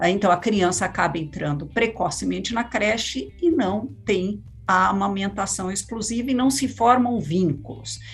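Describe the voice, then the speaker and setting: A woman at a fairly slow pace, with hardly any pauses. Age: 60s. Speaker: education policy expert. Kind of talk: panel discussion. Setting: remote call. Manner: halting.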